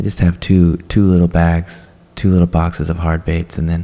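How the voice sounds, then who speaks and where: Soft-spoken and relaxed in tone, at a fairly slow pace with monotone, flat intonation. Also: man. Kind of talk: casual show-and-tell talk to camera about fishing tackle. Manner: soft-spoken, relaxed.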